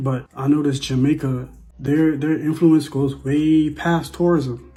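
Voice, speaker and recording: A man with an American accent and a normal speaking voice, pitched fairly high, at a moderate pace. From Bahamas. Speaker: vlogger. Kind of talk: casual monologue. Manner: repetitive, conversational.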